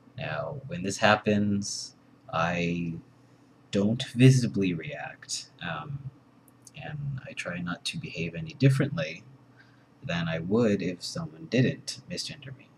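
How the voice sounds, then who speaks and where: The voice is somewhat breathy and moves at a very slow pace. It has very wide pitch swings and big swings in loudness. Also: man, fairly low pitch for a man. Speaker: vlogger. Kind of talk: personal vlog monologue. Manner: hesitant, many fillers.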